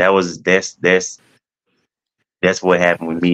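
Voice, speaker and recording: This man speaks with an American accent. His tone is bright and sharp. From Mississippi. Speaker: teacher and coach. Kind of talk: testimony.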